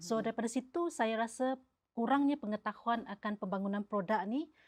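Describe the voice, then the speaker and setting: A woman uses a normal speaking voice at a fairly high pitch and a fairly quick pace. Her pitch varies in an ordinary way on a very clean recording with a silent background. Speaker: pepper business founder. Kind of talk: interview answer.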